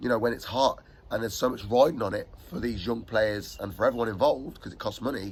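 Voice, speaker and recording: Speaking at a very fast pace, a man uses a medium pitch that is somewhat breathy, with ordinary pitch variation. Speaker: youth football coach. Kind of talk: casual chat. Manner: animated.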